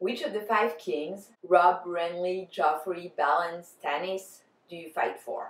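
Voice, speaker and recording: This woman talks with a strong French accent. Her pitch sits in the medium range. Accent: French, thick. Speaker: fan vlogger. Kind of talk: casual vlog answering tag questions.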